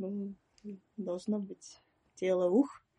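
This woman has a medium pitch and a dark, mellow tone that is somewhat breathy. The sound is dry and close, with no echo. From Russia, Perm. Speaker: psychotherapist. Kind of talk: interview. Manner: halting.

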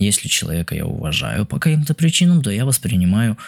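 At a fairly quick pace, a man speaks with very wide pitch swings. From Israel. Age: 20s. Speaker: travel podcaster. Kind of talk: unscripted monologue. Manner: halting.

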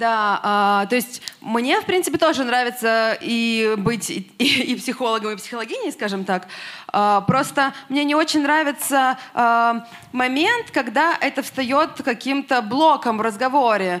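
Her voice sits high for a woman, with ordinary pitch variation. She speaks at a fairly slow pace. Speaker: audience member, artist. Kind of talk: question from audience. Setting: stage with audience.

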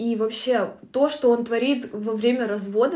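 Moving at a moderate pace, the speech carries a dark, mellow tone and fairly even intonation. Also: woman. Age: 20s. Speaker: book podcast co-host. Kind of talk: casual book discussion.

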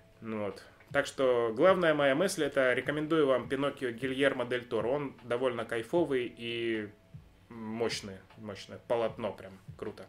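A man's normal speaking voice at a medium pitch, fairly slow, with ordinary pitch variation and big swings in loudness. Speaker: podcast co-host. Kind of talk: casual chat. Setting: indoor room with fireplace, in person.

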